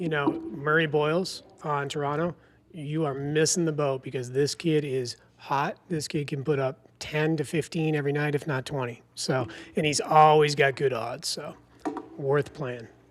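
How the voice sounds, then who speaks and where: This man talks at a moderate pace in a fairly high pitch, keeping his intonation fairly even. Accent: Boston. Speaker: sports betting podcast co-host. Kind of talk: casual podcast chat.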